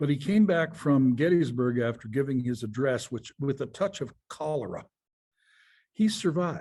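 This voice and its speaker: Somewhat breathy and fairly high, a man's voice has a dark, mellow tone, lively intonation and a moderate pace. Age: 70s. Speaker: founder and chairman of a design company. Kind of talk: interview.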